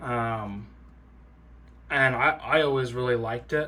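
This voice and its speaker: There is audible room echo around the voice. It belongs to a man of medium pitch. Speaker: tech YouTuber. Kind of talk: casual product walkthrough. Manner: hesitant, many fillers.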